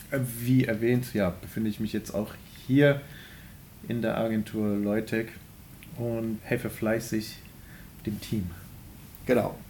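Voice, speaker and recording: Dark, mellow male voice of medium pitch, at a very slow pace with long, frequent pauses and fairly even intonation. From Germany, Remscheid area. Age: 20s. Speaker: podcast co-host, self-employed. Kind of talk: casual chat.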